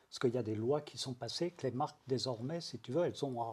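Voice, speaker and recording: A man speaks at a fairly quick pace, his voice somewhat breathy. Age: 60s. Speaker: brand strategy consultant. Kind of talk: casual interview. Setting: sofa interview. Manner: calm, phlegmatic.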